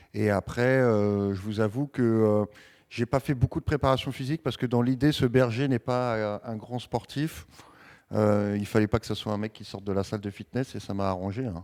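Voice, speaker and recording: In a Parisian accent, a man speaks at a moderate pace with a fairly low pitch and ordinary pitch variation. The recording is very clean, with a silent background and a dry, close sound with no echo. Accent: urban Parisian. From Paris, France. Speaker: actor. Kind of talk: interview. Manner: hesitant, many fillers.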